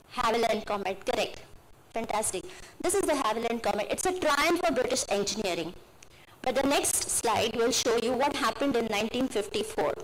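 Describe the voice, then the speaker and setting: Against noticeable background noise and audible room echo, a woman with a fairly high pitch talks at a fairly quick pace, her intonation lively and her loudness very even. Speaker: lecturer speaking at MBA inauguration. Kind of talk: lecture. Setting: auditorium with audience.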